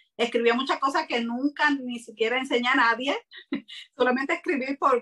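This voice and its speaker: A woman speaks at a moderate pace in a bright, sharp, high voice with fairly even intonation. The sound is dry and close, with no echo. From Puerto Rico. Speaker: writer and self-publisher. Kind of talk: interview. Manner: hesitant with frequent fillers.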